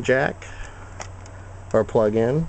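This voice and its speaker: A man's dark, mellow voice, dry with no echo, over light background noise. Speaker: hobbyist reviewer. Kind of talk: tutorial. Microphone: phone near.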